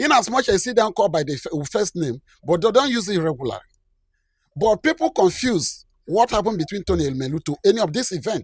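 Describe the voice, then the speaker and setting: Very wide pitch swings from a man with a Nigerian accent, high pitch, and a fairly quick pace, in a very clean, silent-background recording with a dry, close sound and no echo. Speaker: commentator. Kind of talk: video commentary.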